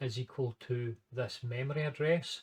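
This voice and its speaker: Somewhat breathy, a man with a strong Scottish accent speaks at a medium pitch and a very slow pace. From Scotland. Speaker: maths and computer science educator. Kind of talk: casual talk to camera and screen walkthrough.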